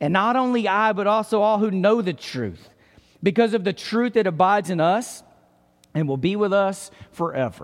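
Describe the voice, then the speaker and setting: In an East Texas accent, a man with a high pitch speaks at a moderate pace with ordinary pitch variation. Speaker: pastor. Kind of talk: sermon.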